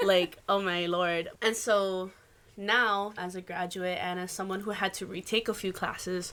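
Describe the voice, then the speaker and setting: The voice has a bright, sharp tone and a Hawaiian accent. It moves at a fairly slow pace with monotone, flat intonation. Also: woman, medium pitch for a woman. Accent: Hawaii English. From Hawaii, Waimanalo on east Oahu. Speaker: musician and Hawaiian language teacher. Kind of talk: casual podcast interview.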